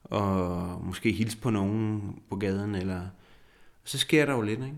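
A man with a fairly low voice speaks at a fairly slow pace, with ordinary pitch variation, long and frequent pauses, and audible room echo. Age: 40s. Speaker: psychologist living with multiple sclerosis. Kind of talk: interview. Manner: halting.

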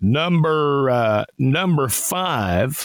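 A man with a fairly high pitch speaks very slowly in a Tennessee accent, his intonation lively and the sound dry and close with no echo. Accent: Southern US (Tennessee). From Tennessee hills. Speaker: radio host and auctioneer. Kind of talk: radio call-in show chat.

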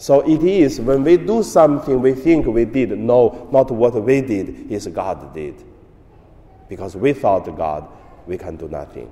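A man with a Chinese accent, medium pitch, very wide pitch swings, big swings in loudness, a fairly slow pace and long, frequent pauses. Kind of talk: homily.

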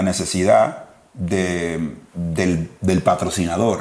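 The words come at a very slow pace while noticeable background noise carries on. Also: man. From Dominican Republic. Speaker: podcast co-host. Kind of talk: casual chat.

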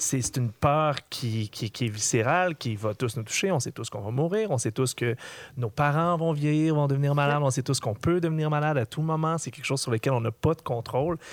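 On a very clean recording with a silent background and a dry, close sound with no echo, a man talks at a fairly quick pace in a fairly high pitch with ordinary pitch variation and an unremarkable speaking voice. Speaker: podcast co-host. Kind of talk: casual interview chat.

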